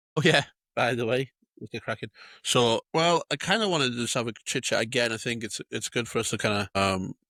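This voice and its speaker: With a North Welsh accent, this voice moves at a fairly quick pace, its bright, sharp tone carrying ordinary pitch variation in a dry, close sound with no echo. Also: man, medium pitch for a man. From North Wales (Anglesey). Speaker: podcast co-host and youth football coach. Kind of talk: casual chat.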